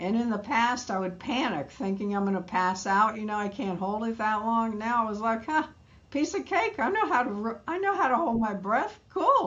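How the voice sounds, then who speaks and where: In an American accent, a woman with an unremarkable speaking voice talks at a moderate pace. Her pitch is fairly high and her intonation lively. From New York. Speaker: midlife wellness educator. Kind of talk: interview conversation.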